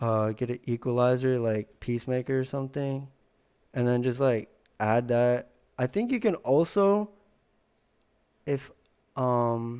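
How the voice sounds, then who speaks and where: A man at medium pitch with a dark, mellow tone, a fairly slow pace, long, frequent pauses and ordinary pitch variation, on a very clean recording with a silent background. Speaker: tutorial youtuber. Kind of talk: casual tutorial. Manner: casual, filler-heavy.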